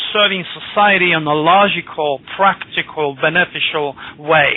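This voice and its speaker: A man speaks with ordinary rises and falls in pitch. There is noticeable noise behind him. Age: 60s. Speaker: astrologer. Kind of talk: radio interview. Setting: radio show.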